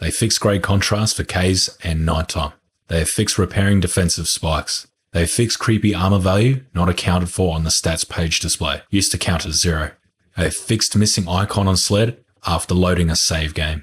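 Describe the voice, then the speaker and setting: Speaking at a fairly quick pace, a man has a very deep, low, somewhat breathy voice with fairly even intonation. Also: very even loudness. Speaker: gaming youtuber. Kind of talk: reading aloud.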